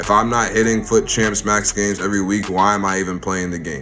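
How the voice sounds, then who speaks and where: Music plays behind a man whose voice carries audible room echo. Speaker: gaming youtuber. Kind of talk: casual vlog talk. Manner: casual, with fillers.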